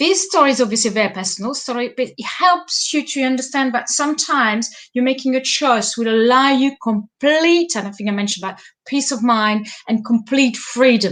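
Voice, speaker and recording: A woman speaks with a French accent at a fairly quick pace, using a high pitch and lively intonation. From France. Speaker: life coach. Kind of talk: live stream monologue. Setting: live stream. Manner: halting.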